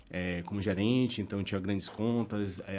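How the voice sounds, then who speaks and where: The speaker talks with a Bahian accent and fairly even intonation. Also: man. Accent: Bahian accent, noticeable. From Bahia, Brazil (Salvador). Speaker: tax director. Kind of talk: podcast interview. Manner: casual, conversational.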